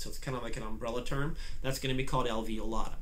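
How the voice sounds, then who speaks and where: Through audible room echo and noticeable background noise, a man speaks very fast in a medium pitch with monotone, flat intonation. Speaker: biology instructor. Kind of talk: lecture. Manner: halting, many fillers.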